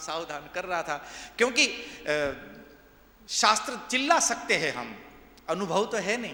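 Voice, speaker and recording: There is noticeable background noise and audible room echo. A man speaks with a high pitch. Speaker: religious discourse speaker. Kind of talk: sermon.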